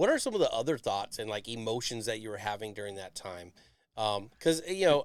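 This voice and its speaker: Lively intonation and big swings in loudness mark this normal speaking voice at a fairly quick pace. The recording is very clean, with a silent background. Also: man, medium pitch for a man. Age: 40s. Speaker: podcast host, Navy veteran. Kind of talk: casual interview.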